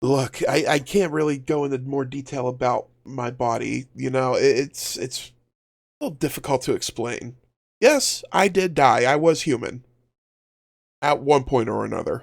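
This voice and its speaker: In a put-on character voice, a man speaks at a moderate pace and a medium pitch, his tone raspy. The recording is very clean with a silent background. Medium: actual play. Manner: hesitant, evasive.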